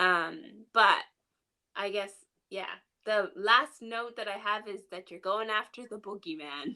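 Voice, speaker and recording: A woman with a medium-pitched, bright, sharp voice speaks very slowly, with ordinary pitch variation and big swings in loudness. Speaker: podcast co-host. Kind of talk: casual chat.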